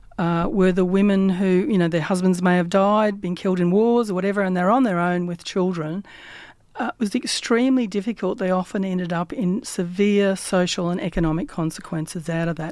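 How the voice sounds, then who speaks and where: A woman speaks fairly quickly with an Australian accent, her pitch medium and its variation ordinary. The recording is very clean, with a silent background. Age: 60s. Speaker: community radio host. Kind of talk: casual chat. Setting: radio studio. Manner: halting.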